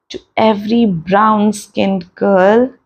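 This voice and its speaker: Speaking with an Indian accent, a woman keeps a medium pitch and fairly even intonation. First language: Hindi. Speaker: meditation and self-help channel host. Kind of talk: casual podcast talk in Hindi-English mix.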